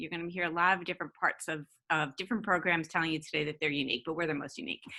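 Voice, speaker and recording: This woman speaks with an American accent. Her tone is bright and sharp. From New York. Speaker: university administrator. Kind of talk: presentation. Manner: hesitant with fillers.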